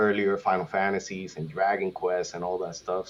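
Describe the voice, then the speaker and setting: A man speaks with a Spanish accent at a fairly low pitch. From Puerto Rico. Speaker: gaming content creator, podcast guest. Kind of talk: casual podcast chat. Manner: hesitant, many fillers.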